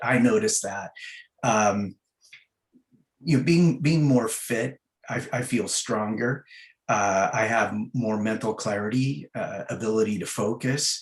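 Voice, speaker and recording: Speaking fairly slowly, a man keeps a medium pitch that varies in an ordinary way. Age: 60s. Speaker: executive and fitness coaching client. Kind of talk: interview testimony. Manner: hesitant, many fillers and repeats.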